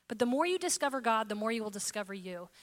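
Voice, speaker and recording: A woman with a fairly high voice is heard on a very clean recording with a silent background. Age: 40s. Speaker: podcast host and preacher. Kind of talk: sermon. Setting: room with live audience.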